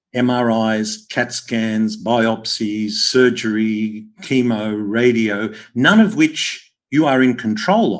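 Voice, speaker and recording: A very slow pace in an Australian accent, with fairly even intonation. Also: man, medium pitch for a man. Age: 60s. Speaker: podcast host, health practitioner. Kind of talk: interview conversation.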